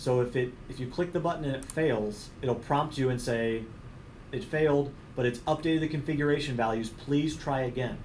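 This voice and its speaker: Fairly even intonation comes through alongside audible room echo. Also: man, medium pitch for a man. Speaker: technical trainer. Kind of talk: technical training presentation. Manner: fast.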